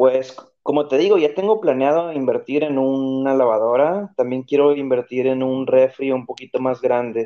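This man talks at a medium pitch and a moderate pace with ordinary pitch variation and a plain, everyday voice. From Tijuana, Mexico. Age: 30s. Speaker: podcast guest. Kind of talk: casual chat.

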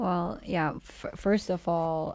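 A Turkish accent on a very clean recording with a silent background. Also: woman. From Turkey, Istanbul. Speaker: co-founder of a waste-to-energy company. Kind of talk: casual interview.

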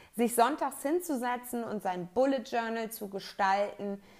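The recording is very clean and the background silent. A woman with a fairly high pitch speaks very slowly, her intonation lively. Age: 30s. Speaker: podcast host, organization coach. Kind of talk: solo podcast monologue.

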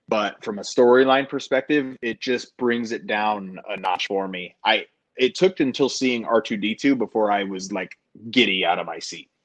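Speaking in an ordinary speaking voice at a moderate pace, a man with an American accent has a medium pitch and ordinary pitch variation, recorded dry and close with no echo against a quiet background. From Denver, Colorado. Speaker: podcast host and former theme park front desk manager. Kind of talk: casual chat.

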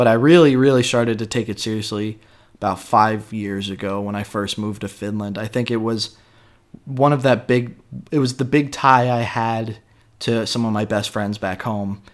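In a plain, everyday voice, a man with an American accent speaks at a moderate pace on a very clean recording with a silent background. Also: medium pitch for a man. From Raleigh, North Carolina, US South. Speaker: podcast host. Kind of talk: casual chat, podcast intro.

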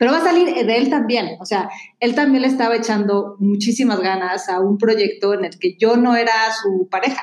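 A woman's fairly high voice with ordinary pitch variation, at a moderate pace. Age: 40s. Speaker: columnist and comedic speaker. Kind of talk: casual chat.

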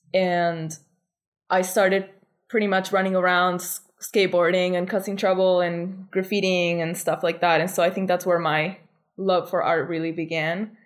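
At a moderate pace, a woman with a Spanish accent speaks at a fairly low pitch in a monotone, flat intonation. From Argentina. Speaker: artist. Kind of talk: interview.

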